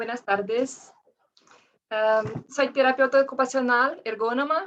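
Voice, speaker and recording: A woman's high voice with a non-native accent, very slow in pace, with ordinary pitch variation. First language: Portuguese (speaking Spanish). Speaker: occupational therapist and ergonomist. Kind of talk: reading aloud presentation.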